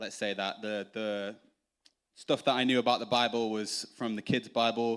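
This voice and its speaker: A man's medium-pitched voice at a moderate pace, in a very clean recording with a silent background. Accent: English. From northern England, Doncaster, Yorkshire. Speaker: church member. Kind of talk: testimony. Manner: halting, many fillers.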